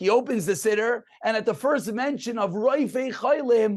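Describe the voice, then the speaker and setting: Speaking with an American accent, a man talks at a moderate pace with ordinary pitch variation. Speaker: rabbi teaching a daily Torah class. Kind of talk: lecture. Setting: video call.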